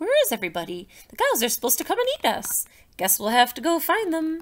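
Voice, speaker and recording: A woman's put-on character voice, high-pitched and very fast, with very wide pitch swings. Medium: read story.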